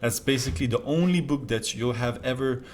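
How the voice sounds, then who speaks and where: A man with a French accent, at a fairly quick pace. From France. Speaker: self-improvement youtuber. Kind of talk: casual talk to camera.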